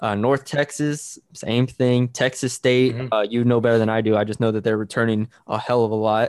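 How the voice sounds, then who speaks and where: At a fairly quick pace with hardly any pauses, a man speaks in a monotone, flat intonation at medium pitch, the sound dry and close with no echo. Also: quiet background. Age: 20s. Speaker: sports podcast host. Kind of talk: casual sports chat.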